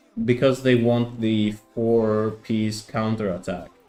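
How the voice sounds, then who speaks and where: A man talks very slowly. Music is playing behind him. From Greece. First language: Greek. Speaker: gaming streamer. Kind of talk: casual live stream chat. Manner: halting.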